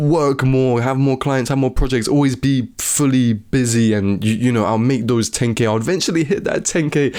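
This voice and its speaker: With an unremarkable speaking voice, a man talks at a moderate pace and medium pitch, using ordinary pitch variation. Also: very even loudness. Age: 20s. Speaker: video editor and YouTuber. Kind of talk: casual talk-to-camera advice video. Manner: casual, many filler words.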